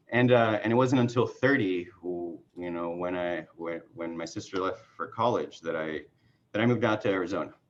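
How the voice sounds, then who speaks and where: In a Spanish accent, a man speaks at a fairly low pitch with ordinary pitch variation. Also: moderate pace. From Mexican border area, Mexicali and Coachella Valley. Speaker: political candidate. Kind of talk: casual chat. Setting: video call.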